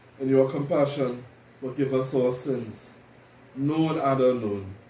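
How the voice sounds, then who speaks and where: Speaking at a fairly slow pace, a man keeps his intonation fairly even. Light background noise and audible room echo surround his voice. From Trinidad and Tobago. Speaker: deacon leading worship. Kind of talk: liturgy and sermon. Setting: church. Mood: calm, solemn. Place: home room.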